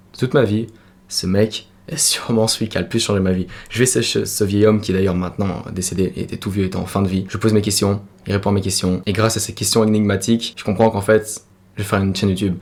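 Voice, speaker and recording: A man with a fairly low pitch talks at a very fast pace in a monotone, flat way. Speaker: youtuber. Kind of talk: personal testimony.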